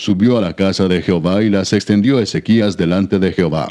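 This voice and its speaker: A man with a fairly low pitch speaks at a moderate pace in a dark, mellow, solemn tone. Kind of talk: scripture audiobook reading. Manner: solemn, steady, measured pace; formal, reverent reading tone.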